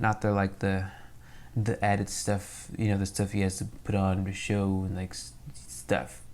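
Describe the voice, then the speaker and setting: Speaking at a fairly slow pace, a man uses a fairly low pitch. His intonation is lively. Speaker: YouTuber drawing artist. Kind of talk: casual chat while drawing. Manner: loud; animated.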